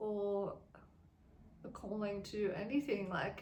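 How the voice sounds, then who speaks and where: A woman with an Australian accent speaks at a very slow pace. Her fairly high voice carries audible room echo. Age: 20s. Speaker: vlogger. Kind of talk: casual chat. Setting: at home in a cabin. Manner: casual, with many fillers like um.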